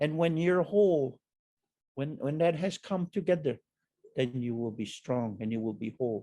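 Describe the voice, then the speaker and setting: With an American accent, a man speaks in a fairly high pitch, his tone dark and mellow and his intonation lively. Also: moderate pace. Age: 70s. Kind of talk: discussion panel. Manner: halting.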